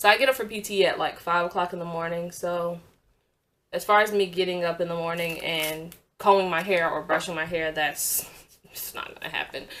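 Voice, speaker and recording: A woman speaks fairly quickly at a fairly low pitch with fairly even intonation. Her loudness swings widely. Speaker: beauty vlogger. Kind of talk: casual chat. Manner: monotone.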